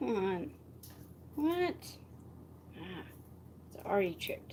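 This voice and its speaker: A soft-spoken woman at a very slow pace, with audible room echo. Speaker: vlogger. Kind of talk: casual live stream chat. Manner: halting.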